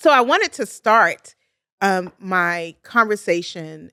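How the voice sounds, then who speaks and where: With a Baltimore accent, a woman at medium pitch sounds energetic, in a bright, sharp tone. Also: dry, close sound with no echo. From US, Baltimore, Maryland. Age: 50s. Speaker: podcast host, clinical social worker. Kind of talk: podcast monologue.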